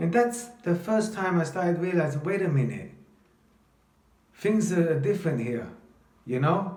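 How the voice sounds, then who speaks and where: With a London accent and a high pitch, a man speaks at a fairly slow pace with long, frequent pauses, his tone animated and intonation lively, amid noticeable background noise and audible room echo. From London, England (from age 7; early childhood in Italy). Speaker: vlogger telling his life story. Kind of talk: personal storytelling monologue. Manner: animated, halting with repetitions.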